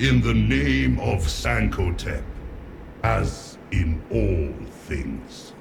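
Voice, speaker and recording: Over clear background noise, a man puts on a robotic character voice with a very deep, low pitch, lively intonation and a very slow pace. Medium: machinima. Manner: formal, grandiose.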